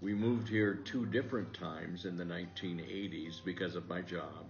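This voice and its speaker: A man with an American accent, very deep and low in pitch, with ordinary pitch variation at a moderate pace, amid audible room echo and music in the background. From US Midwest, southwestern Iowa. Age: 80s+. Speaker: retired teacher. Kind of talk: interview.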